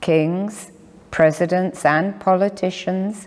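A woman at a very slow pace, with ordinary pitch variation. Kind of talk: sermon. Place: church. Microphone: lapel.

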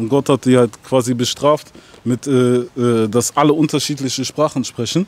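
A man talks at a moderate pace in a medium-pitched voice. His intonation is fairly even, and the sound is dry with no echo. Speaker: rapper; interviewee. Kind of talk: casual interview. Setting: outdoors. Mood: relaxed, casual. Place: street. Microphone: handheld.

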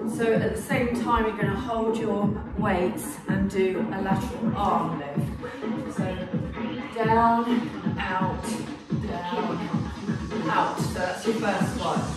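Loud music plays behind a woman who speaks very slowly, leaving long, frequent pauses. Audible room echo surrounds her voice. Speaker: fitness instructor. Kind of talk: workout instruction. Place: gym. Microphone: camera far.

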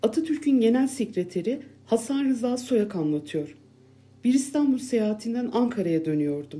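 Reading aloud, plain

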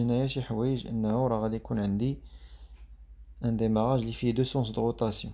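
A man with a Moroccan accent speaks at a fairly quick pace and medium pitch, his dark, mellow tone and fairly even intonation carrying audible room echo. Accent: Moroccan Arabic with French code-switching. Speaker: teacher. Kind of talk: lecture.

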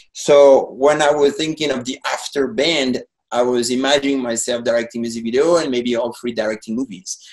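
A man with a French accent and medium pitch, fairly quick and with hardly any pauses, ordinary pitch variation, quiet background. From France. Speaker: painter and former rock musician. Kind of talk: casual chat. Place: home room. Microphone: webcam.

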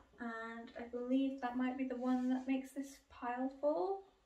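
A woman's high voice in a British accent, at a fairly slow pace, with audible room echo. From UK. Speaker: book YouTuber. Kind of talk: casual video monologue, book haul. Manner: hesitant, many fillers. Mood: relaxed, chatty. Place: home room. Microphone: camera far.

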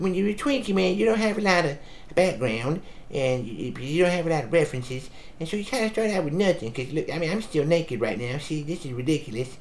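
A cartoonish character voice at middle pitch and a very fast pace, with clear background noise. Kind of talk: comic improvised rant. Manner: rambling, casual, complaining; nervous and paranoid toward the end.

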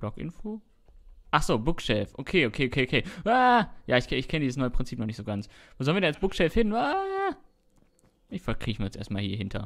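A man at a fairly quick pace, fairly high in pitch, with very wide pitch swings and long, frequent pauses. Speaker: Minecraft YouTuber. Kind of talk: casual chat while gaming, commentary. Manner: chatty, rambling, informal.

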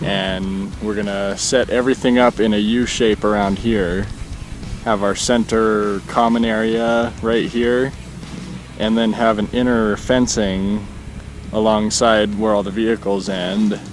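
With clear music in the background and a dry sound with no echo, a man speaks fairly slowly at a fairly low pitch in a monotone, flat way. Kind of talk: casual vlog chat. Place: open country. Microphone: phone near.

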